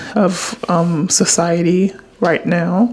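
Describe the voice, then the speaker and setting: A woman with a fairly low voice and ordinary variation in pitch talks while noticeable noise runs behind her. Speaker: content creator vlogger. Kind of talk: casual confessional vlog. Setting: late night at home on camera. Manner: quiet low talking; hesitant, many fillers.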